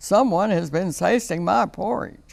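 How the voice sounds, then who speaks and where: A man puts on a character voice, raspy and high-pitched. He keeps a moderate pace. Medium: read story. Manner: gruff, harrumphing.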